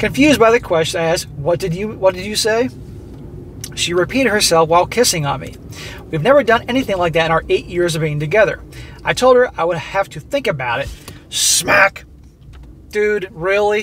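A man talks at a fairly quick pace with lively intonation. The sound is dry with no echo, and light background noise is present. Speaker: commentator reading a story. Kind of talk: reading a story aloud and commenting on it. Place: car. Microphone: phone near.

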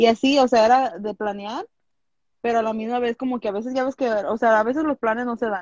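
Fairly quick, fairly even speech from a woman, fairly high in pitch, with a dry sound and no echo. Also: quiet background. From Los Angeles, California, Mexican-American family from Jalisco; California. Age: 20s. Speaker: small business owner; interview guest. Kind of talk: interview. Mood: candid, relaxed storytelling. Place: home room. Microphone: video call.

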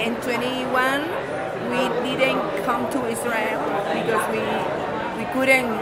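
Someone talks at a fairly slow pace with crowd noise in the background. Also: woman. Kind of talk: interview answer. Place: hall. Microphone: camera far.

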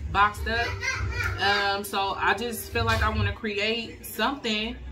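Noticeable background noise surrounds the voice. A woman speaks at a moderate pace. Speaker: crafting vlogger. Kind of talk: casual vlog chat. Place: kitchen. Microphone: phone near.

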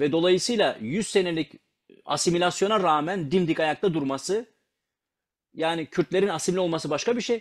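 Against a quiet background, the speaker moves at a medium speed, pitch varying in an ordinary way. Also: man. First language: Kurdish (speaking Turkish). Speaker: language learning speaker. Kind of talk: casual talk about language learning.

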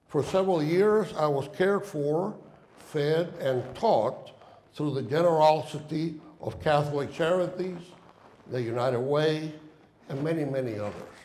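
Speaking at a moderate pace, a man with a Spanish accent uses ordinary pitch variation. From Cuba. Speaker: former ambassador and guest lecturer. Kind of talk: lecture. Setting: stage with audience. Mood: earnest, personal reflection. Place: hall. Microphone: podium.

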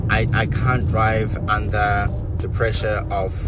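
A man's voice in a dry sound with no echo, with clear music in the background. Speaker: driver vlogger. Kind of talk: casual vlog chat. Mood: stressed, amazed. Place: car. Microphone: phone near.

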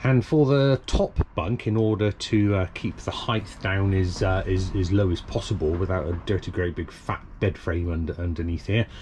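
There is light background noise as a man speaks. His pitch is fairly low and his pace moderate. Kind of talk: casual build vlog narration. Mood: relaxed, self-mocking. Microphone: phone near.

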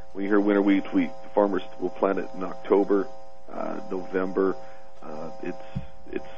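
A man's very deep, low voice at a moderate pace, with music in the background. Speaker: guest. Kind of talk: interview answer.

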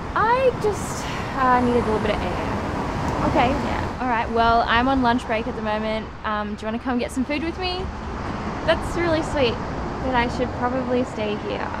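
The speech moves at a moderate pace while loud background noise fills the recording. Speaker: actor in drama scene. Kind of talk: scripted dialogue. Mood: friendly, slightly awkward. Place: street.

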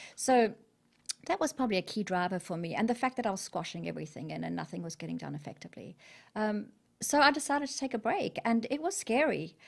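Over a quiet background, a woman with a South African accent talks very fast at a fairly high pitch, with vocal fry and very wide pitch swings. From South Africa, Natal. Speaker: corporate business leader and entrepreneur; interview guest. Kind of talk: interview. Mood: warm, reflective. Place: studio. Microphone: studio mic.

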